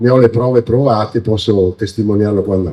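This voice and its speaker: This man's voice carries a dark, mellow tone with ordinary pitch variation. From Veneto, Treviso province (Motta di Livenza). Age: 60s. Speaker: local politician and candidate. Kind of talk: campaign speech. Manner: hesitant, many fillers.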